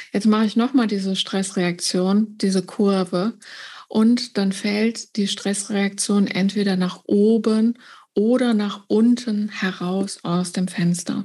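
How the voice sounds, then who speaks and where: In a Rhenish accent, a woman speaks at a very slow pace with a dark, mellow tone, a somewhat breathy quality and monotone, flat intonation. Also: medium pitch for a woman. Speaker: trauma therapist. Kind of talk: interview.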